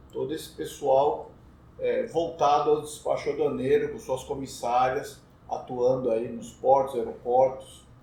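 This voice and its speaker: Speaking at a fairly slow pace, a man's voice comes with audible room echo. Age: 60s. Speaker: customs broker. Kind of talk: casual chat.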